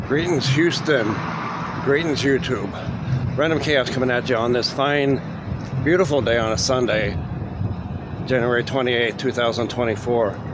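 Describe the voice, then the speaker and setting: Over loud background noise, a man speaks at a fairly slow pace with ordinary pitch variation and long, frequent pauses. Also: dry sound with no echo. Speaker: vlogger. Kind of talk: casual vlog chat. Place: street. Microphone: phone near.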